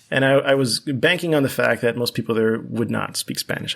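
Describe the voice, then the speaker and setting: Medium in pitch and marked by vocal fry, a man speaks with an American accent. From US, Miami, Florida (Cuban family). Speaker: mathematics professor. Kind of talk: podcast interview.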